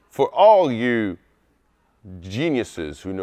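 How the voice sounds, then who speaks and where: A man at medium pitch talks in an animated tone with very wide pitch swings. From France, moved to US as a child. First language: French. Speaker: war veteran. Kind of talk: casual talk to camera.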